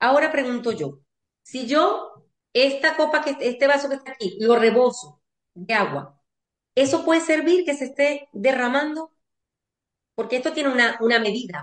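The speaker moves at a moderate pace with ordinary pitch variation, leaving long, frequent pauses. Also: woman, high pitch for a woman. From Venezuela. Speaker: family constellation therapist and lawyer. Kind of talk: interview.

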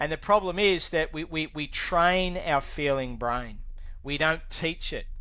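With an Australian accent, a man talks at a fairly slow pace. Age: 60s. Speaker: recovering alcoholic, former electronics technician. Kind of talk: interview testimony. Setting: video call.

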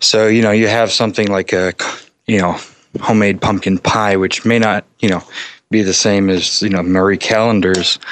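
Here is a plain, everyday voice from a man with a fairly low pitch. He keeps a moderate pace and fairly even intonation. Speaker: caller. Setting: phone call.

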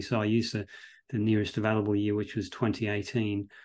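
Against a quiet background, a man at medium pitch speaks with an Australian accent. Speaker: veterinary professor and researcher. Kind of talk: interview.

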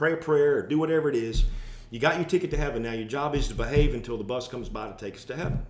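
A man with an American accent speaks at a fairly high pitch. Audible room echo surrounds his voice. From US South. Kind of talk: casual chat.

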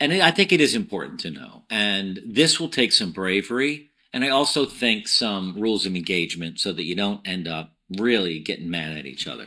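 A man with a fairly low voice and a bright, sharp tone talks fairly quickly, with very wide pitch swings and big swings in loudness. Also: very clean recording, silent background. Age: 60s. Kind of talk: casual conversation.

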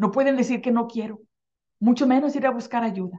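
Her high-pitched voice carries a warm, energetic tone, this woman showing ordinary pitch variation. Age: 50s. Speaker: life coach and radio show host. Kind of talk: motivational self-help talk. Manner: warm and energetic.

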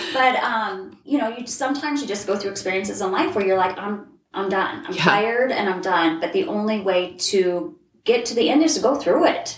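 In a normal speaking voice, a woman talks at a fairly quick pace with a medium pitch and lively intonation. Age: 40s. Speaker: life coach and college instructor. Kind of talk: casual chat. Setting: in person at host's place.

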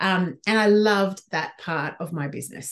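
Using a plain, everyday voice, a woman speaks at a medium pitch with ordinary pitch variation. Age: 40s. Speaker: business coach for midlife women. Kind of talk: casual interview chat.

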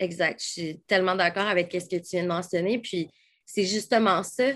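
Against a quiet background, a woman talks in a Quebec accent. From Quebec City. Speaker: holistic coach. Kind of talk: casual interview chat. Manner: animated.

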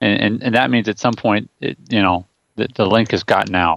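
A man's unremarkable speaking voice, fairly low in pitch with ordinary variation, at a fairly quick pace in a dry, close sound with no echo. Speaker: co-host. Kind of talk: casual podcast chat. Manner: laughing, relaxed.

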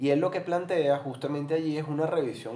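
A man's voice with audible room echo. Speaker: psychologist and business consultant. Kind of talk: casual interview chat.

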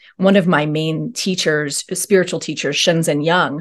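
Against a quiet background, a woman with a plain, everyday voice speaks in a fairly low pitch with fairly even intonation. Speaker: actor, author and trauma guide. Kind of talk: casual interview conversation.

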